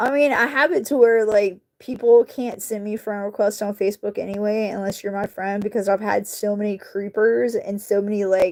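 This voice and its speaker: With a strong Southern US accent, a woman of medium pitch speaks at a moderate pace with fairly even intonation and hardly any pauses. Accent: southern country accent, coming back strongly. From US South, North Carolina (Charlotte). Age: 40s. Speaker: YouTuber, craft maker. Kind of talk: casual chat with live chat while crafting. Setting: home livestream, camera on tripod. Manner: youthful casual slang.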